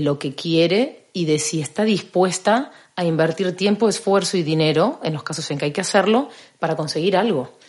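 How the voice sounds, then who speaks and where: A woman speaks at a moderate pace in a plain, everyday voice. Her pitch is fairly low, with ordinary variation. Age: 40s. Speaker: personal trainer. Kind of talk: casual chat.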